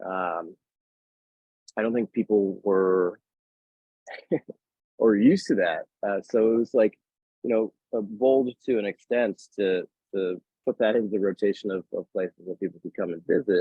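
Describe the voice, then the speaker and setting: In an American accent, a man talks at a moderate pace and fairly low pitch, with fairly even intonation and long, frequent pauses. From Worcester, Massachusetts. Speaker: bartender, beverage director. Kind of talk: podcast interview answer.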